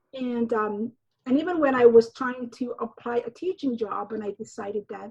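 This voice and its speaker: The voice carries a dark, mellow tone and a Somali accent. It moves at a moderate pace with ordinary pitch variation. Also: woman. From Somalia. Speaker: novelist and high school teacher. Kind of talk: interview conversation. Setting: remote recording from home. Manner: halting.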